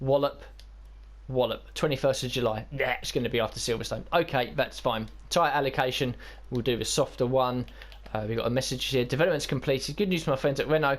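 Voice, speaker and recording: At a very fast pace, a man with a British accent talks at a medium pitch with fairly even intonation. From Britain. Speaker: gaming YouTuber. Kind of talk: gameplay commentary. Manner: casual, with fillers.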